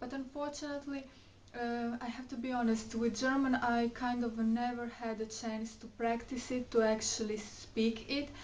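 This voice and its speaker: A woman with a Croatian accent speaks at a high pitch and a moderate pace in a monotone, flat intonation. Audible room echo and noticeable background noise surround her voice. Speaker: beauty and fashion vlogger. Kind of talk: casual vlog chat. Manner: hesitant, many fillers.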